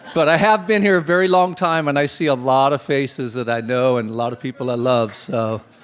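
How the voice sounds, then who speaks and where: Noticeable background noise surrounds a man whose intonation is lively. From Topanga Canyon, Southern California (born in Australia). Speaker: tile business owner. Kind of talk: personal anecdote at community gathering. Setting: community hall with audience.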